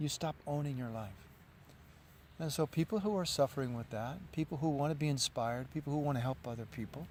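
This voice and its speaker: This man talks at a very fast pace, his pitch fairly high and his voice somewhat breathy. His pitch varies in an ordinary way. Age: 60s. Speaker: yoga teacher. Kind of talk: interview.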